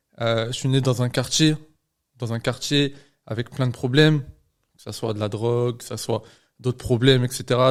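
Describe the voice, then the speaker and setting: The delivery moves at a moderate pace with monotone, flat intonation. The recording is very clean, with a silent background. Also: man. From France, Lyon. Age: 20s. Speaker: medical student and trader. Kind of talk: podcast interview. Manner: hesitant, many fillers.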